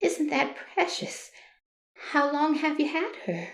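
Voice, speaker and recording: A woman puts on a squeaky, shaky character voice, pitched high and delivered at a fairly slow pace with lively intonation and an audible echo. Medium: audio drama. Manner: sweet, fawning, overly familiar.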